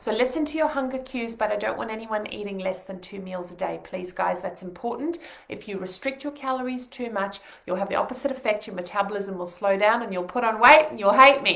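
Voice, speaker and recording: Noticeable background noise and audible room echo fill the recording. A woman speaks at a fairly quick pace with a fairly high pitch and big swings in loudness. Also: ordinary pitch variation. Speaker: nutritionist. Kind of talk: webinar. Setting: home living room, live stream. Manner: fast.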